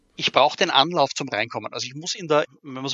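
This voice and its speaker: Speaking at a moderate pace, a man with an unremarkable speaking voice uses a fairly high pitch and ordinary pitch variation. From Austria, Graz. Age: 40s. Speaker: role-playing adventure writer. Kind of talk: interview.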